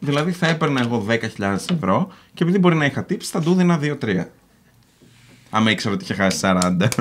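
A fairly high-pitched male voice, swinging very widely in pitch. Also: fairly quick pace. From Greece, Patras. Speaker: YouTuber. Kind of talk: casual chat. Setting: studio with live audience.

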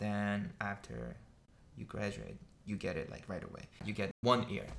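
A fairly bright tone with vocal fry moves at a moderate pace through big pitch swings.

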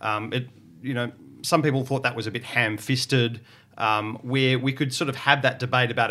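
In an Australian accent, a man with a bright, sharp tone speaks in a monotone, flat way in a very clean recording with a silent background. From Victoria, Australia (Portland). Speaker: academic. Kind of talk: panel discussion.

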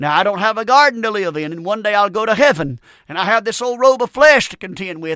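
With a Southern US accent, a man speaks at a high pitch and a fairly quick pace, his bright, sharp tone carried by lively intonation over a very clean recording with a silent background. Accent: US South. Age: 50s. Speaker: radio preacher. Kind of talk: sermon. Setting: studio.

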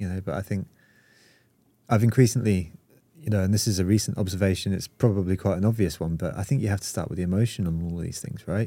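On a very clean, silent recording, a man with a British accent talks very fast in a dark, mellow tone, with a fairly low pitch and ordinary pitch variation. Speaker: community founder and marketer. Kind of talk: casual podcast interview.

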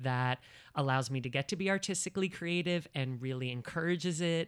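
At a fairly quick pace, a man with an American accent and an unremarkable speaking voice talks at fairly high pitch with ordinary pitch variation, in a very clean recording with a silent background. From New Jersey. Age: 30s. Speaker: actor and comedian. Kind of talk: casual chat. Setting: at home.

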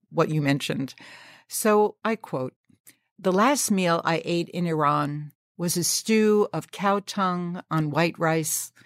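In a very clean recording with a silent background and a dry, close sound with no echo, a woman uses an unremarkable speaking voice, fairly low in pitch with ordinary pitch variation. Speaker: podcast host. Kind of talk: interview conversation.

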